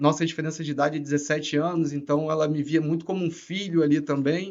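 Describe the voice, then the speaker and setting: With a Rio de Janeiro accent, a man talks at a fairly quick pace and a fairly high pitch. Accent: Rio de Janeiro (carioca). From Rio de Janeiro, Niterói. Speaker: tech executive. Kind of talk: podcast interview. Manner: casual, filler-heavy.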